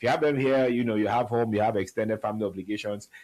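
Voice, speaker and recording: Over a silent background in a very clean recording, a man talks at a medium pitch with fairly even intonation. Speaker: show founder and host. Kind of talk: motivational talk show monologue. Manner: conversational, some hesitations and restarts.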